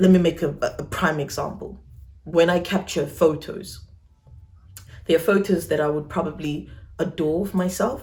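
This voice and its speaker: This woman, somewhat breathy and fairly low in pitch, keeps a moderate pace and fairly even intonation while pausing long and often. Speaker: YouTuber. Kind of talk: personal vlog. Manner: casual.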